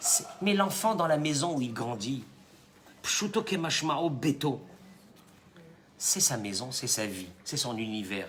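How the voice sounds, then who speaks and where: A man's animated, fairly slow delivery with very wide pitch swings and audible room echo. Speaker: rabbi. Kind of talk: sermon.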